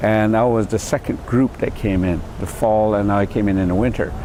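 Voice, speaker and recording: A fairly low-pitched man with an American accent at a fairly quick pace, amid noticeable background noise. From San Carlos Apache Reservation, Arizona. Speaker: former student activist. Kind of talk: interview testimony. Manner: halting.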